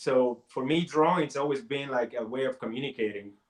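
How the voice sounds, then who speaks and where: The speaker is a man with a Spanish accent. He keeps a moderate pace. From Puerto Rico. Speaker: comic artist and college teacher. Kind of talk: interview.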